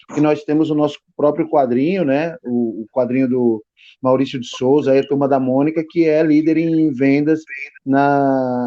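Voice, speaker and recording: A man's medium-pitched voice at a fairly slow pace, with fairly even intonation. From Brazilian Northeast, Petrolina, Pernambuco. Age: 40s. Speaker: graphic designer, illustrator and writer. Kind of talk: podcast interview. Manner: halting, many fillers.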